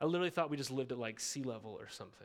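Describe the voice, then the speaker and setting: In a very clean recording with a silent background, a man speaks in a fairly high voice with lively intonation. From Montana. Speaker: pastor. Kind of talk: sermon. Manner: casual, conversational.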